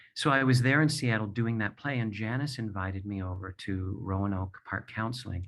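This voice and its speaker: A man's fairly low-pitched, a normal speaking voice with fairly even intonation, against a quiet background. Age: 60s. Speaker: playwright and performer, abuse survivor. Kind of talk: personal testimony. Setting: video call from home.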